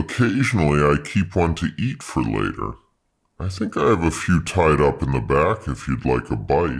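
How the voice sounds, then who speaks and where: A man puts on a character voice with a very deep, low pitch, speaking at a moderate pace. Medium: read story. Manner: nervous, over-apologetic.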